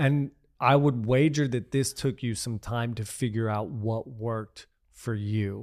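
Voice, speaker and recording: In a normal speaking voice, the speaker moves at a fairly slow pace with fairly even intonation, on a very clean recording with a silent background. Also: man, medium pitch for a man. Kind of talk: casual conversation.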